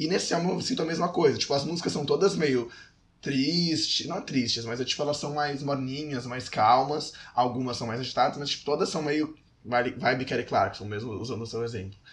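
A somewhat breathy man with a fairly high pitch, ordinary pitch variation and a fairly quick pace. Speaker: podcast co-host. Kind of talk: casual chat.

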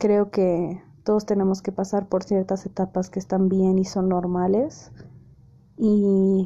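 Dark, mellow tone from a woman at medium pitch, fairly slow and fairly even in intonation, over a quiet background. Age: 20s. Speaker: podcast host. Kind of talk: casual monologue.

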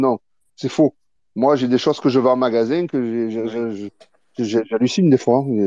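A man of medium pitch speaks at a moderate pace in a dark, mellow tone, the sound dry and close with no echo over a quiet background. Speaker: trading card shop owner and importer. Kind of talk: casual live audio chat. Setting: live audio room online. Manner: informal, colloquial speech.

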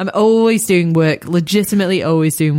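This woman's voice has a dark, mellow tone. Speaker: podcast guest. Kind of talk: casual chat.

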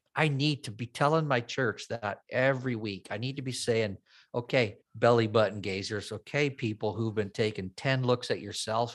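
A man talks at a moderate pace with hardly any pauses, in a medium pitch with ordinary variation. It is a plain, everyday voice on a very clean recording with a silent background. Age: 50s. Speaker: worship pastor. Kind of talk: casual chat.

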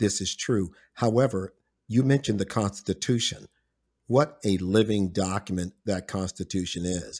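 A man with a plain, everyday voice speaks at a fairly low pitch and a moderate pace with ordinary pitch variation. The sound is dry and close with no echo. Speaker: podcast host. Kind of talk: casual interview.

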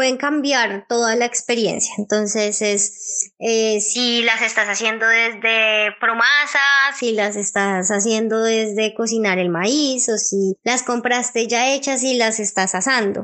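With hardly any pauses, a woman talks at a very slow pace in a fairly high pitch and fairly even intonation. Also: very even loudness. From Colombia, Bogotá. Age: 20s. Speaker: culinary student and cooking teacher. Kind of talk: interview testimony.

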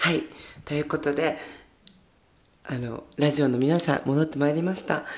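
A woman speaks at a very deep, low pitch and a moderate pace. Long, frequent pauses break up her speech. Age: 20s. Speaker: podcast host. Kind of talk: casual chat. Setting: home storage room, livestreaming while recording. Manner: animated.

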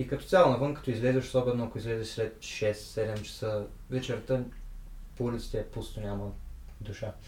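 Vocal fry runs through a man's medium-pitched voice. He talks at a fairly quick pace with fairly even intonation. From Bulgaria. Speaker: guest who worked abroad. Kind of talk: casual interview chat.

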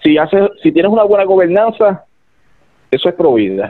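At a moderate pace, a man talks in a high pitch. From Ponce, Puerto Rico. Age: 30s. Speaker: political candidate. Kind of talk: political interview. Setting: phone call. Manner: hesitant, repeats words.

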